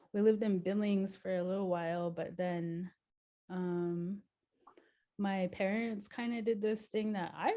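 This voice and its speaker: Speaking fairly slowly, a woman with a slight Crow accent uses a medium pitch, fairly even intonation and a dark, mellow tone. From Montana, Flathead Reservation. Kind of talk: interview. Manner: hesitant, many fillers.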